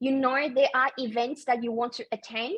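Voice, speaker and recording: A woman's high voice with a warm tone at a moderate pace, dry and close with no echo. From Taiwan. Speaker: English confidence coach. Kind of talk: casual talk to camera. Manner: warm, encouraging.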